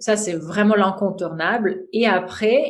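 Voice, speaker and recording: A woman with a Russian accent, in audible room echo. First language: Russian (speaking French). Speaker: mantra chant teacher. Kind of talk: podcast interview. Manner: hesitant, many fillers.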